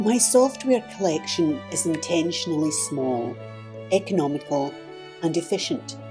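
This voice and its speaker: A woman's very deep, low voice with very wide pitch swings, a moderate pace and music in the background. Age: 70s. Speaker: artist and YouTube art tutorial creator. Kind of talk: casual talk to camera, channel journey explanation.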